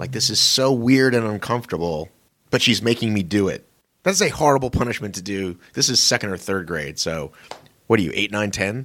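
A man's normal speaking voice, fairly low in pitch, with lively intonation at a fairly quick pace. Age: 40s. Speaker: podcast co-host. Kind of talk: casual chat.

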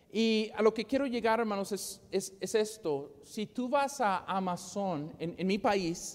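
Someone with an English accent talks at a very slow pace with ordinary pitch variation. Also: man. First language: English (speaking Spanish). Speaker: preacher. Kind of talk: sermon. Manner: halting, repeats words.

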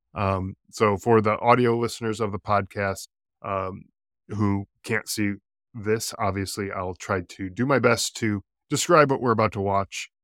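A man's normal speaking voice with an American accent, fairly low in pitch, fairly even in intonation and fairly slow in pace, recorded dry and close with no echo, very clean, over a silent background. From US East Coast. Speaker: podcast host, military veteran. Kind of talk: casual interview chat.

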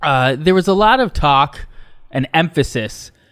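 A man with a plain, everyday voice at a fairly slow pace, on a very clean recording with a silent background. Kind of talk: casual comedic banter.

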